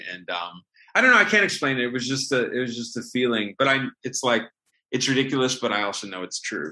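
Speaking with an American accent, a man uses an ordinary speaking voice at a medium pitch with ordinary pitch variation. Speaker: film writer and director. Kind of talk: interview. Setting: video call.

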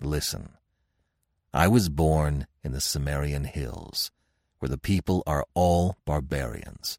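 In a put-on character voice, a man speaks slowly at an extremely low pitch with ordinary pitch variation and a slightly mellow tone, the recording dry and close with no echo, very clean, and the background silent.

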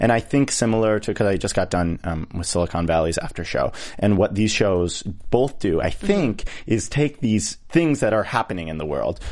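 Hardly pausing, a man with an ordinary speaking voice talks at a moderate pace in a fairly low pitch, with lively intonation. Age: young. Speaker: TV after-show co-host. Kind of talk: casual chat.

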